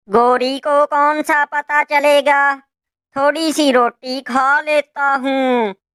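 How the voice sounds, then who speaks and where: This cartoonish character voice sits at a high pitch. It moves at a very slow pace. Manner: sly, self-serving.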